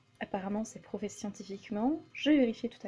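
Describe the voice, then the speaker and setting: A woman speaks in a fairly high, somewhat breathy voice with a dark, mellow tone. Her pitch varies in an ordinary way. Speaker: vlogger. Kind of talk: casual vlog monologue while cooking. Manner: hesitant, many fillers.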